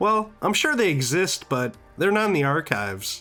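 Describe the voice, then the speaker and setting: Music can be heard behind the speaker. He is a man talking at a moderate pace. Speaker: gaming youtuber. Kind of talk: video essay commentary. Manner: casual.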